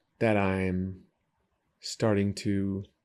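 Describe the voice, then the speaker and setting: Very clean, silent-background recording of a man with an American accent, a fairly low pitch and a dark, mellow tone. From San Diego, California. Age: 30s. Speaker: trail runner and baker. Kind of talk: casual interview.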